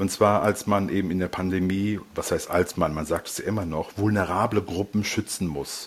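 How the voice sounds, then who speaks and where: Pitched fairly low, a man talks at a moderate pace with hardly any pauses. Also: fairly even intonation. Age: 50s. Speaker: psychologist. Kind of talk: interview. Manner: hesitant, many fillers.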